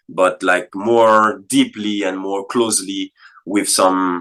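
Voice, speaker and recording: A man's fairly low voice, bright and sharp in tone, at a fairly slow pace. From Martinique. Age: 20s. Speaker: musician and educator. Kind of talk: interview. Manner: halting, many fillers and repeats.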